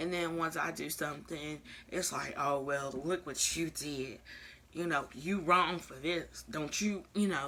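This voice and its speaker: The voice has a bright, sharp tone and fairly even intonation, delivered at a fairly slow pace. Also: woman, very deep, low pitch for a woman. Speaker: vlogger. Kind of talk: casual vlog monologue. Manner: soft-spoken.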